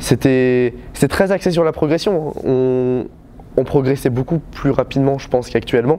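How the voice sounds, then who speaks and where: Against noticeable background noise, a man speaks at a moderate pace with a medium pitch and ordinary pitch variation. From western France, Vienne. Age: 20s. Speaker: taekwondo coach. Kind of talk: interview testimony. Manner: halting, many hesitations.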